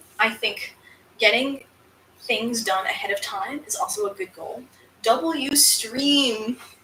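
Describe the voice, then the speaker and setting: An animated woman speaks fairly slowly with an American accent and a high pitch. Noticeable background noise is present. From upstate New York, US. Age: 20s. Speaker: crafter and streamer. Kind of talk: live stream Q&A chat. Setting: live stream.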